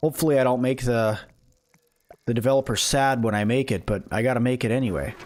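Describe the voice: A man talks at a fast pace with a slightly mellow tone. His pitch varies in an ordinary way. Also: medium pitch for a man.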